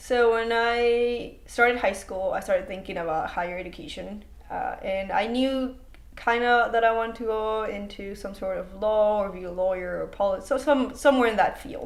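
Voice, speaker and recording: A woman's fairly high voice with ordinary pitch variation and big swings in loudness, plus audible room echo. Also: moderate pace. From Mexico. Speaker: student. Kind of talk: interview.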